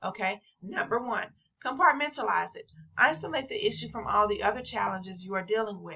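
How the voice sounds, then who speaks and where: A woman's fairly high voice with vocal fry and an American accent, at a moderate pace. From St. Louis, Missouri, US. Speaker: entrepreneur and business coach. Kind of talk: vlog monologue.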